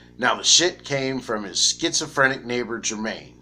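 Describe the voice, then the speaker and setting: A man with an American accent speaks at a moderate pace in a medium pitch, with ordinary pitch variation and a bright, sharp tone, on a very clean recording with a silent background. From Florida. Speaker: YouTuber analyzing comics. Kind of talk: casual video commentary. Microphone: poor audio quality.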